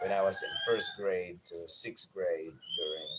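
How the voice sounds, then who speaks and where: Here a man talks in a Visayan Filipino accent. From Philippines, Bisaya-speaking region. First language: Bisaya (Cebuano). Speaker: gardening YouTuber. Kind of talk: personal life story on livestream. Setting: outdoors in garden at dawn.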